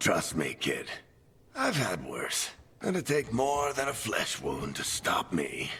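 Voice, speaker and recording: A man puts on a character voice and speaks at a fairly slow pace. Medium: video game. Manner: dry, wry, warm.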